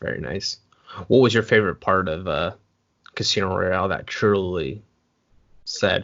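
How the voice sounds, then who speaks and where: A man with an American accent speaks at a very deep, low pitch with ordinary pitch variation. His pace is moderate, with long, frequent pauses. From US, Oregon. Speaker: interview host. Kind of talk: interview.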